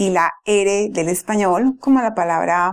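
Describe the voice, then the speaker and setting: Ordinary pitch variation from a woman, very clean recording, silent background. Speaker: Spanish-speaking English teacher. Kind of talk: language lesson to camera.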